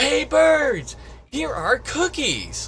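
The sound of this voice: Shouting loudly, a man performs in a put-on character voice.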